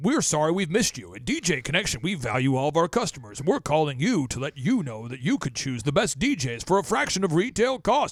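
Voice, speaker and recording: Someone talks at a very fast pace in a put-on character voice. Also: man, fairly high pitch for a man. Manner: cheesy, salesy.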